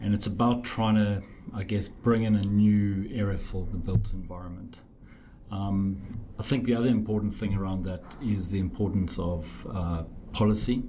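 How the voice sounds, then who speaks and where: With a slight South African accent, a man talks at a moderate pace and a fairly low pitch. His intonation is fairly even, and there is audible room echo. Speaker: architect. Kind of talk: podcast interview. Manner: hesitant, many fillers.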